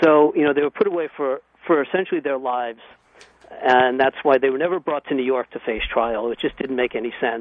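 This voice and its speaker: A plain, everyday voice, this man's is medium in pitch, with ordinary pitch variation and a fairly quick pace. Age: 40s. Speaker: son of a terrorism victim. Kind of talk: radio interview.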